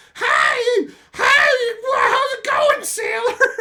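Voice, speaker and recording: Shouting in a put-on character voice comes through at an extremely high pitch. The speaker yells throughout. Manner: flirtatious, mocking.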